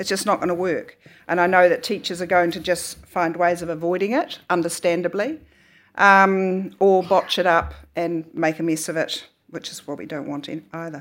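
In a very clean recording with a silent background, a woman with a New Zealand accent speaks at a moderate pace, a fairly low pitch and fairly even intonation. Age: 60s. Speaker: author and academic. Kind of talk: talk at a book festival. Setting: stage with audience.

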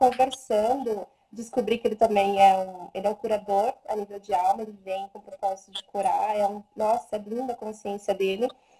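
This woman has an unremarkable speaking voice, a medium pitch and fairly even intonation, talking at a moderate pace with hardly any pauses. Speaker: Theta Healing practitioner and animal communicator. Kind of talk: casual live stream talk. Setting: Instagram live video stream. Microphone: voice too quiet at first.

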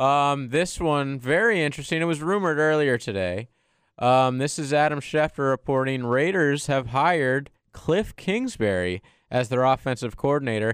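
Over a quiet background, a man with an unremarkable speaking voice talks at a moderate pace and fairly high pitch, his intonation lively and his loudness very even. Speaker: sports radio co-worker. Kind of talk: casual sports talk. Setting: studio.

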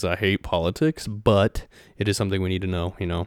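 Speaking in a Midwestern American accent, a man goes at a fairly quick pace with fairly even intonation on a very clean recording with a silent background. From Ohio, US Midwest. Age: 20s. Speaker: podcast host. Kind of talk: solo monologue podcast. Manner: casual, with many fillers.

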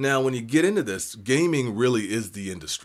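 With an American accent and lively intonation, a man is heard on a very clean recording against a silent background. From Seattle, US Pacific Northwest. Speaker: podcast host. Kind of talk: solo tech talk. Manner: halting, many fillers.

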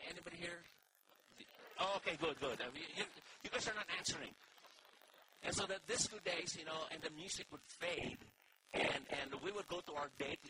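Against noticeable background noise, a man talks at a fairly quick pace and a high pitch with ordinary pitch variation, leaving long, frequent pauses. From Philippines. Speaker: pastor. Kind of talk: sermon. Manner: animated.

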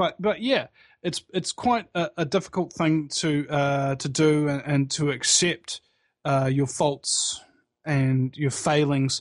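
A man with a New Zealand accent speaks very slowly, with a fairly high pitch and ordinary pitch variation. The sound is dry and close with no echo, over a quiet background. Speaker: internet talk show host and activist. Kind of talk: casual interview chat. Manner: halting, many fillers and repeats.

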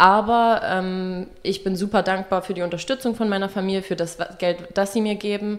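At a moderate pace and medium pitch, a woman speaks in monotone, flat intonation over a very clean recording with a silent background. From eastern Germany, small town. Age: 20s. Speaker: fashion journalism student. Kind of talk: student interview. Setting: copy room at the university.

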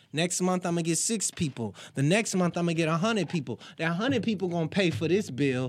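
A man with an American accent, high-pitched and very fast, with lively intonation, hardly any pauses and very even loudness. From Virginia Beach, Virginia. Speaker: rapper. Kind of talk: casual chat.

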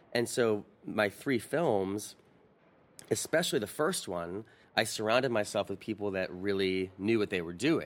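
A man with a plain, everyday voice speaks fairly slowly at a fairly low pitch with lively intonation, in a very clean recording with a silent background. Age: 30s. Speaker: opera and film director. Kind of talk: interview. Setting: opera house balcony.

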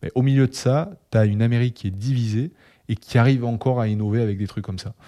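In a Toulouse accent, a man speaks at a fairly quick pace with a medium pitch. His tone is dark and mellow, and the recording is very clean with a silent background. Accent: southern French (Toulouse). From Toulouse, southwest France. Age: 20s. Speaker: HR and marketing worker, podcast co-host. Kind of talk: casual chat.

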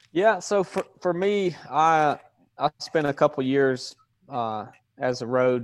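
In a very clean, dry, close recording with a silent background and no echo, a man with a Southern US accent speaks fairly slowly with ordinary pitch variation. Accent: Southern US (Georgia). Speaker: former police officer. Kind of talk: interview conversation.

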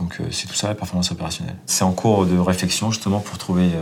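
The man's voice sits very deep and low in pitch. Noticeable background noise is present. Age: 50s. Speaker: airline captain and flight instructor. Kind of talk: guided workplace tour explanation. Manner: hesitant, frequent filler words.

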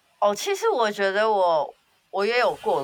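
A woman speaks at a fairly slow pace with a medium pitch and an animated tone. Her pitch swings very widely. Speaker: podcast co-host. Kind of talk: casual chat. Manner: animated, laughing often.

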